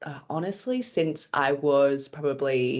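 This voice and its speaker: A woman in an Australian accent, at a fairly slow pace with ordinary pitch variation. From Australia, Brisbane. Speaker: podcast guest, expat. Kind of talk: interview conversation.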